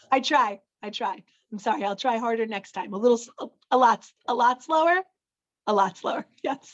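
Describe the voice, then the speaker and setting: This woman has a fairly high pitch and an unremarkable speaking voice. Her intonation is lively, and her loudness swings widely. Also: moderate pace, dry, close sound with no echo. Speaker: meeting chair. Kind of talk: public meeting.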